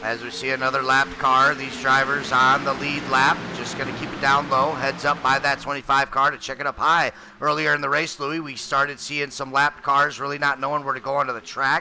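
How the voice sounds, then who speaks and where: Over noticeable background noise, a man with a fairly high voice talks in a flat monotone at a fairly quick pace, with hardly any pauses. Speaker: sim racing commentator. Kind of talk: live commentary. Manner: loud.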